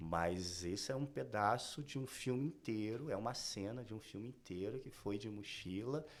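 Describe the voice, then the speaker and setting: A man speaks in an ordinary speaking voice, fairly low in pitch. His intonation is lively, with hardly any pauses. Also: moderate pace. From Brazil, Rio de Janeiro outskirts. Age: 40s. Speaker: fashion designer. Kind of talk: podcast interview.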